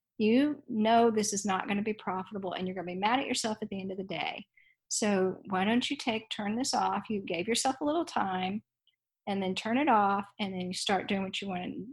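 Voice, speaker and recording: A woman speaking at a fairly quick pace with an American accent, medium pitch, and a somewhat breathy quality. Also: ordinary pitch variation, quiet background. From Dallas, Texas. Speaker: author and teacher. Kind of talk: interview.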